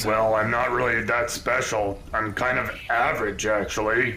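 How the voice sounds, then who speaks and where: A man puts on a character voice at a medium pitch and a moderate pace. Clear background noise runs underneath. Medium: actual play. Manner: hesitant, filler-heavy.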